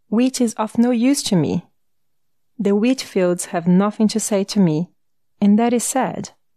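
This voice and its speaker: A woman with a Brazilian accent speaks at a fairly slow pace and fairly high pitch, her tone dark and mellow. The sound is dry and close with no echo, over a quiet background. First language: Portuguese. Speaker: audiobook narrator. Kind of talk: audiobook reading.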